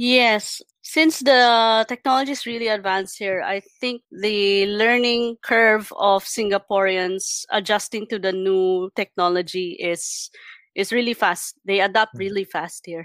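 In a Filipino accent, a woman speaks fairly slowly at a medium pitch, her voice dry and close with no echo on a very clean recording with a silent background. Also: ordinary pitch variation. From Philippines. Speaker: UI designer. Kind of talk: casual interview.

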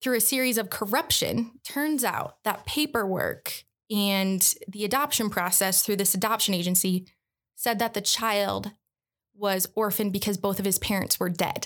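A woman with an American accent has a plain, everyday voice, medium in pitch with ordinary pitch variation. She speaks at a moderate pace and very even loudness in a very clean recording with a silent background. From Michigan, Metro Detroit. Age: 20s. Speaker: nonprofit worker. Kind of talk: casual chat.

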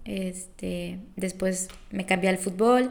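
A woman speaks with a Mexican accent. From Mexico, Colima. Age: 20s. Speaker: student and intern. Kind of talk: casual interview chat.

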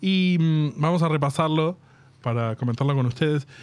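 A man with a Rioplatense accent at a moderate pace, with ordinary pitch variation. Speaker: podcast host. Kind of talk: casual chat.

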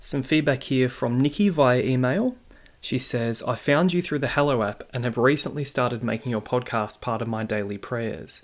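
A man with an Australian accent, medium in pitch, at a moderate pace with ordinary pitch variation, in a very clean recording with a silent background. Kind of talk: monologue reading listener feedback. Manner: warm, earnest, conversational.

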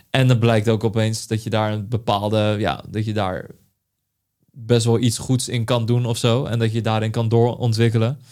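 Speech moves at a moderate pace, its intonation monotone and flat. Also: man, medium pitch for a man. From Netherlands, Vlaardingen. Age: 20s. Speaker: creative director. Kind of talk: interview. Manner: halting.

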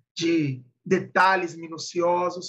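A man's high-pitched voice carries a bright, sharp tone. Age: 30s. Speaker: podcast co-host, positive psychology. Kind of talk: casual chat.

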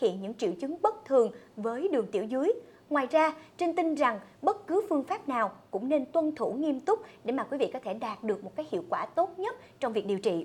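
A woman's high-pitched voice at a fairly quick pace, with very wide pitch swings. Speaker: program presenter. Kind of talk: presenting a health program. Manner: formal.

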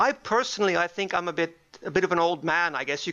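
At a fairly quick pace, a man speaks in a high voice. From Helsinki, Finland. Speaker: moderator, co-host. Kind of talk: casual chat, podcast.

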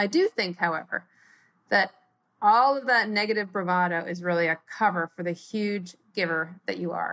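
On a very clean recording with a silent background, a woman speaks in a normal speaking voice at a medium pitch and moderate pace. Her pitch variation is ordinary, and the sound is dry and close with no echo. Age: 50s. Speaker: listener submitting a question. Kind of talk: recorded voice message question.

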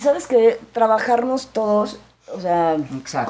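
Here a woman has a plain, everyday voice. She speaks fairly slowly at a fairly high pitch. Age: 40s. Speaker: actress and businesswoman. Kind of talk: casual interview testimony.

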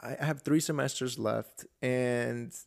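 A man of medium pitch speaks with fairly even intonation on a very clean, dry, close recording with a silent background and no echo. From Georgia, US (born in Colombia, moved at seven). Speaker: podcast host. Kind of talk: casual chat.

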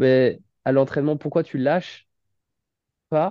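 A man with a dark, mellow tone speaks at a fairly high pitch with fairly even intonation. The sound is dry and close with no echo, over a quiet background. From western France, Nantes and Saint-Nazaire. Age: 20s. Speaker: amateur triathlete and firefighter. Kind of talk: interview. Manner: halting, many fillers.

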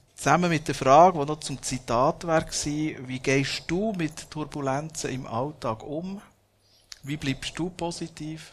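The speaker is a man with a plain, everyday voice. He talks at a fairly slow pace with a fairly high pitch. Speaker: podcast and event host. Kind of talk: live interview before audience.

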